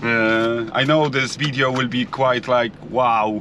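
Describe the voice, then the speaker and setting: A man in a Polish accent speaks at medium pitch and a fairly slow pace over noticeable background noise. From Poland. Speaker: builder. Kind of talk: vlog. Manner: halting.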